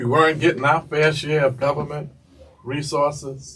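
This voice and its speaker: With a New York accent, a man speaks at a moderate pace over noticeable background noise. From New York City, Lower East Side of Manhattan. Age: 70s. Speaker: city councilman. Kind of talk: interview. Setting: school studio.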